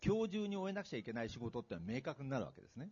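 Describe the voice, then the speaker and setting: Very fast, somewhat breathy speech with very wide pitch swings. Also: man. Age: 60s. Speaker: retired executive and author. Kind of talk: public talk event interview. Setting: stage with audience.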